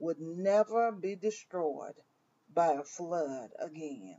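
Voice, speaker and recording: A woman speaks in a Southern US accent. Her pace is very slow, and her intonation is lively. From US South, Mississippi. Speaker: minister. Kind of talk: devotional.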